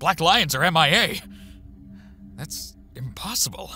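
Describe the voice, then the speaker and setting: Music plays in the background as a raspy, put-on character voice speaks at a moderate pace. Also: man, fairly high pitch for a man. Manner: weary, fatherly.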